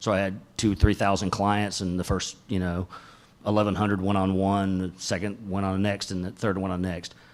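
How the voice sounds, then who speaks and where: This man has a fairly low pitch and monotone, flat intonation. He moves at a fairly quick pace. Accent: Southern US. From US South, Atlanta, Georgia. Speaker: tech company executive, conference speaker. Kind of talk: tech talk. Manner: casual, many fillers.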